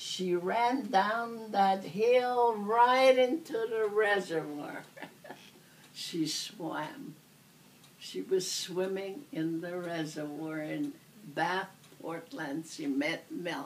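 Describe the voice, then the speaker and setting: In an American accent, a woman speaks very slowly at a medium pitch with very wide pitch swings. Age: 80s+. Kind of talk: interview answer.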